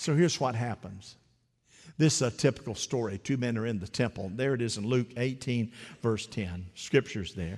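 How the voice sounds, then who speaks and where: Over crowd noise in the background, a man speaks at a medium pitch in an animated tone with lively intonation. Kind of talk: sermon. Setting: church. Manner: animated call-and-response preaching, urging the congregation to repeat after him.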